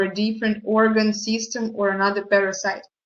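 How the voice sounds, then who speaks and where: Here a woman talks with a non-native accent. Her pitch is fairly high, and her pace is moderate. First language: not English. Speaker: product presenter. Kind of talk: online product presentation.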